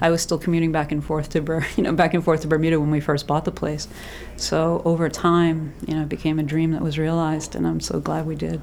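A woman with an American accent, very deep, low pitch, monotone, flat intonation and a very fast pace. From Massachusetts. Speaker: yoga teacher and bed and breakfast owner. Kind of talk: casual interview.

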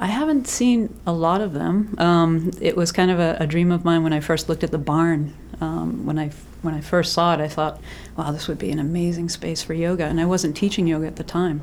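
Here is an ordinary speaking voice, a woman's, at a fairly low pitch. She keeps a fairly quick pace with ordinary pitch variation. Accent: American. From Massachusetts. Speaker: yoga teacher and bed and breakfast owner. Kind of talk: casual interview.

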